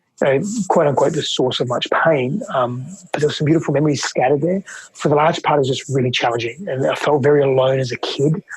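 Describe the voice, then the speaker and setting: A man with an Australian accent, a fairly high pitch and ordinary pitch variation, at a very fast pace. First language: Greek. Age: 30s. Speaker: relationship and men's coach. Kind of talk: interview testimony.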